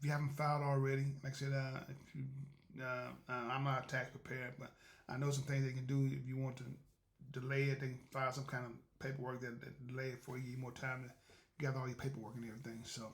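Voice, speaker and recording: In a room with audible echo, a man with a medium pitch and a somewhat breathy voice talks at a very fast pace. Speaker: podcast host. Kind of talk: casual monologue. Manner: fast when excited; halting, many repetitions.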